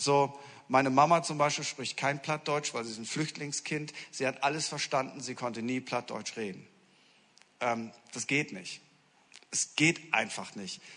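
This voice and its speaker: With an animated, bright, sharp tone, a man speaks fairly slowly at a fairly high pitch, leaving long, frequent pauses. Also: ordinary pitch variation, big swings in loudness. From northern Germany, Friesland. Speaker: pastor. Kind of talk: sermon. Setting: church.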